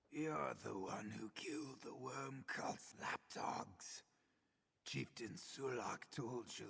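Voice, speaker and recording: Putting on a raspy character voice, a man speaks at a very slow pace. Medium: video game. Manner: ominous, earnest.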